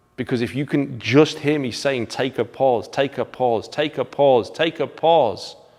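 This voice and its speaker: A man with an English accent speaks at a moderate pace, his medium pitch showing ordinary variation. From England. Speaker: martial arts instructor. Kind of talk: video commentary.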